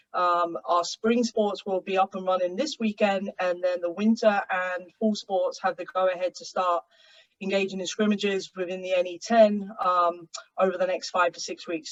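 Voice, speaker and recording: A woman's medium-pitched voice in an English accent, with fairly even intonation at a moderate pace. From England. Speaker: college soccer coach. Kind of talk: panel webinar introduction. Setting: video call.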